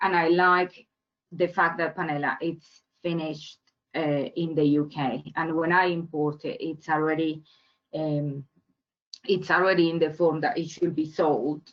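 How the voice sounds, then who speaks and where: A woman with a Spanish accent, fairly low in pitch, monotone and flat, at a fairly slow pace. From Colombia. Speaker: entrepreneur. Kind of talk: webinar talk. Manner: halting, many fillers and repeats.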